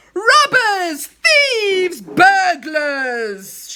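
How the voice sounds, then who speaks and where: A loud, shouted put-on character voice at an extremely high pitch, with very wide pitch swings. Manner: loud, shouting.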